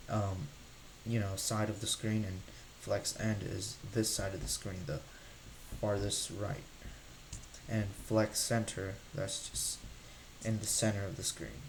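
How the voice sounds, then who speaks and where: Pausing often and at length, a man talks fairly slowly against noticeable background noise. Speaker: coding tutorial creator. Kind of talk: tutorial.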